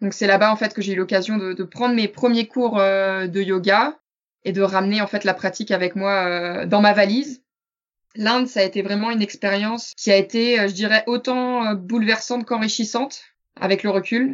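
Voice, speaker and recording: A woman talks at a moderate pace in a medium pitch with fairly even intonation. It is a plain, everyday voice. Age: 20s. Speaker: yoga teacher. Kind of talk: interview.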